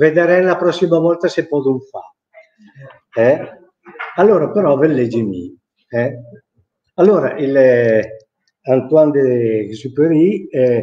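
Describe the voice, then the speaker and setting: Speaking at a very slow pace with long, frequent pauses, a man uses lively intonation. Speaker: Milanese dialect teacher; dialect teacher. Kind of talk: live lecture to an audience. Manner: hesitant, conversational. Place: office. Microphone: webcam.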